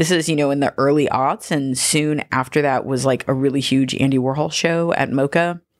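Very deep and low in pitch, a woman with a Californian accent speaks at a moderate pace with very even loudness and hardly any pauses. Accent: Californian American English. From Southern California (Gardena, Los Angeles). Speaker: curator and writer. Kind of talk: casual interview conversation. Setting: in person.

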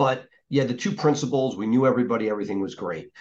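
This man has a plain, everyday voice. He talks fairly quickly, and his pitch varies in an ordinary way. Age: 50s. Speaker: podcast host. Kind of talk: interview.

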